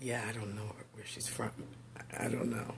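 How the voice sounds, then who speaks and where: A woman speaks with a very deep, low pitch and vocal fry. Her intonation stays fairly even. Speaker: pastor and teacher. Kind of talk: casual livestream talk. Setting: home office video stream. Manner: halting with fillers.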